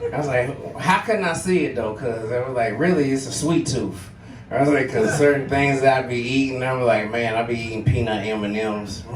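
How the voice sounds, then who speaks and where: Music plays in the background as a man talks with ordinary pitch variation, his voice echoing audibly off the room. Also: medium pitch for a man, moderate pace. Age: 40s. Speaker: stand-up comedian. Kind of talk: stand-up. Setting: stage with audience.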